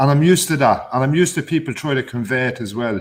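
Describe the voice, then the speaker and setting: Here a man talks at a very fast pace. He has an Irish accent. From Ireland. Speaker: guest on online phone-in show. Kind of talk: casual chat. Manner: loud.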